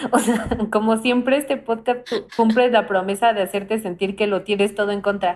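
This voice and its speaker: Intonation stays fairly even at a moderate pace. Background noise is noticeable. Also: woman, fairly high pitch for a woman. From Mexico. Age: 20s. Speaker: podcast host. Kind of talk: casual chat.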